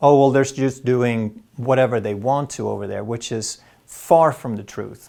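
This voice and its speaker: At a fairly slow pace, a man talks with a Swedish accent and a dark, mellow tone. His pitch is medium and his intonation fairly even. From Sweden. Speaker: health educator doctor. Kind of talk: health explainer monologue.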